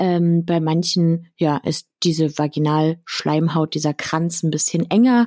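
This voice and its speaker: A woman speaks very slowly in a fairly low, dark, mellow voice at very even loudness. The sound is dry and close with no echo. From Berlin, Germany. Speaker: sex educator. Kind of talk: interview answering listener questions. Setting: video call.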